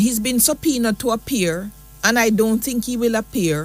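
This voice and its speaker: There is music in the background. A woman speaks at a fairly high pitch. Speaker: radio talk show host. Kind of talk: call-in talk radio.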